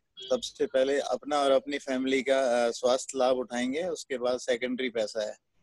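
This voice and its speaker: A man of medium pitch is recorded with a dry, close sound with no echo. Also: hardly any pauses. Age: 60s. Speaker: network marketing distributor. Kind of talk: interview testimony. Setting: video call.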